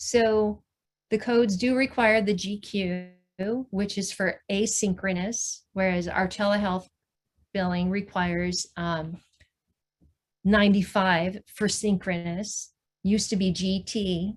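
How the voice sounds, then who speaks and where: A woman speaks at a very slow pace, somewhat breathy, with fairly even intonation and long, frequent pauses. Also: medium pitch for a woman. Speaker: billing and telehealth trainer. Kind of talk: webinar presentation.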